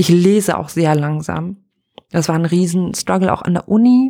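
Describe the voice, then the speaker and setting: In an animated tone, a woman with a fairly low pitch speaks at a moderate pace with ordinary pitch variation. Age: 30s. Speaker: podcaster and pastor. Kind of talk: casual solo podcast monologue. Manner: animated, frequent laughter.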